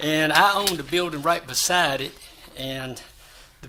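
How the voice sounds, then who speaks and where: A man speaks at a fairly high pitch with a bright, sharp tone. His intonation is fairly even. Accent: South Carolina. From South Carolina, Florence. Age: 70s. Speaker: building owner / applicant. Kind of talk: public hearing testimony. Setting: city board meeting at podium.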